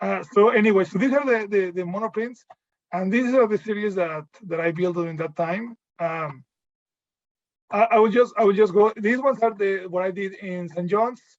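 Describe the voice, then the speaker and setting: A man speaks at a moderate pace with a Mexican accent. His voice sits high, with ordinary pitch variation. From Mexico. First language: Spanish. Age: 30s. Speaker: visual artist. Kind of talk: portfolio presentation. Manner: halting, many fillers and repeats.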